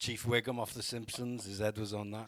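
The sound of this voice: Speaking at a fairly quick pace, a man with a fairly low pitch and a fairly bright tone shows little pitch movement.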